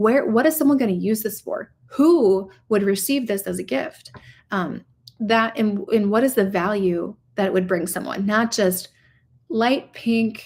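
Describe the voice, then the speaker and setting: In a Minnesota accent, a woman with a fairly high voice speaks at a fairly slow pace with lively intonation on a very clean recording with a silent background. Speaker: e-commerce coach. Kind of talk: livestream tutorial. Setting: livestream.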